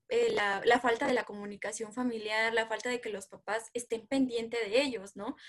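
This is a woman speaking. Her voice is high in pitch. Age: 20s. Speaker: psychologist. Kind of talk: interview.

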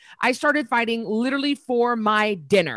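An unremarkable speaking voice from a woman with an American accent, fairly high in pitch, at a fairly quick pace with ordinary pitch variation, in a dry, close sound with no echo. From US, northern Idaho. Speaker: fitness entrepreneur and former boxer. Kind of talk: interview.

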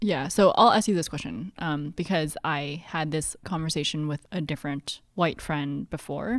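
A woman's very deep, low voice with a Canadian accent, at a moderate pace with hardly any pauses and ordinary pitch variation, in a very clean recording with a silent background. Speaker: podcast co-host. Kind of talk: casual chat. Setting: home basement, recording in person.

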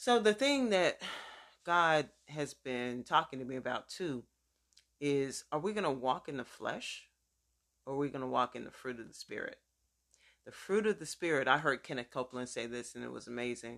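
A woman with a very deep, low pitch talks at a moderate pace with lively intonation, long, frequent pauses and big swings in loudness. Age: 50s. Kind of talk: sermon-style teaching with personal testimony. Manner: conversational, informal.

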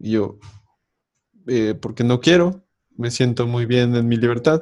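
A man speaks at a medium pitch. His pitch varies in an ordinary way, and his pace is fairly slow. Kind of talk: casual chat.

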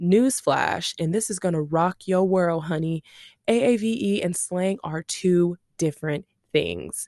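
A woman speaks at a fairly slow pace with a fairly low pitch, a dark, mellow tone and ordinary pitch variation, in a dry, close sound with no echo. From US South, Shreveport, Louisiana. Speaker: podcast host and massage therapist. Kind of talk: casual monologue. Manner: animated.

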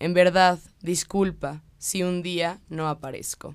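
Very slow speech comes through in a very clean recording with a silent background. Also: woman. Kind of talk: spoken word poetry reading. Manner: declamatory, rhythmic, impassioned delivery.

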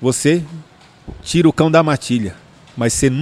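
Heard dry and close with no echo, a man with a fairly high pitch speaks at a moderate pace with lively intonation. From São Paulo, Brazil (Ipiranga). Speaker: dog trainer. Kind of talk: casual interview.

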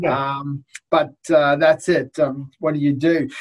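A man is talking. His accent is Australian. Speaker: lawyer. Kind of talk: interview.

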